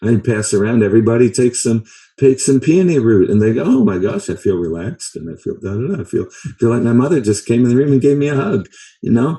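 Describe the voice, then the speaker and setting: Very fast and somewhat breathy, this dark, mellow voice carries a lively intonation. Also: man, medium pitch for a man. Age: 70s. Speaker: herbalist and teacher. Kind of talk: lecture. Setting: video call. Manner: halting; animated.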